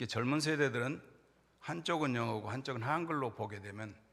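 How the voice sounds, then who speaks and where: Here a man has an unremarkable speaking voice. His pitch is medium, with ordinary variation. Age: 60s. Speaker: pastor. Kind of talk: sermon.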